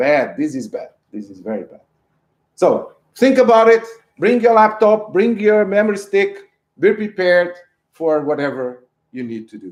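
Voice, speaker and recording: With a Portuguese accent, a man speaks in a high pitch at a moderate pace, his intonation lively, his loudness swinging widely, and his pauses long and frequent. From Portugal. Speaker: professor. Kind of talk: lecture.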